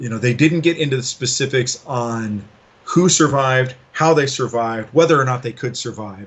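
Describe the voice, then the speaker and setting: A man with a plain, everyday voice speaks at a moderate pace and medium pitch, with ordinary pitch variation and an American accent. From US, Los Angeles. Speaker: game designer. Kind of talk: interview. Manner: casual.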